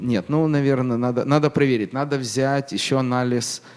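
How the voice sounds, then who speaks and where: A man talks at a medium pitch. Noticeable noise runs behind him. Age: 40s. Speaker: business owner. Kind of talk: interview. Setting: studio.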